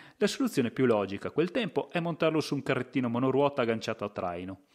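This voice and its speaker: A man speaks in a normal speaking voice at a medium pitch, with lively intonation over a quiet background. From Italy, Verona province (Lessinia). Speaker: podcast host and storyteller. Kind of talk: scripted narration.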